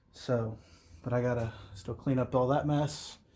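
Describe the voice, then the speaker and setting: A man with an American accent speaks amid audible room echo. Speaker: vlogger. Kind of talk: casual vlog talk. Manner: mumbling.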